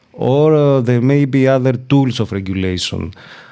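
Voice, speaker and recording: A man with a Greek accent has a dark, mellow tone. He speaks at a moderate pace with ordinary pitch variation. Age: 40s. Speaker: law professor. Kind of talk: interview. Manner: hesitant, many fillers.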